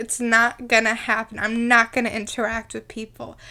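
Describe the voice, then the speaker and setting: Speaking at a moderate pace, a woman has a fairly high pitch and a bright, sharp tone. The recording is very clean against a silent background. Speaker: podcast host. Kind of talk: casual chat.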